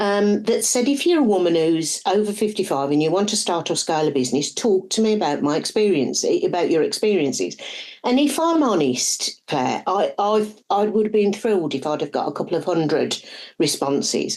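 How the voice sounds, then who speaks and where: A woman speaks at a fairly quick pace in a medium pitch, her pitch swinging very widely while her loudness stays very even. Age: 60s. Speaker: business strategist and author. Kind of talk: podcast interview.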